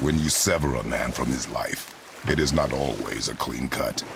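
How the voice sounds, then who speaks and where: A man at a moderate pace puts on a character voice with a very deep, low pitch, while clear background noise plays behind him. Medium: video game. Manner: terse, gruff.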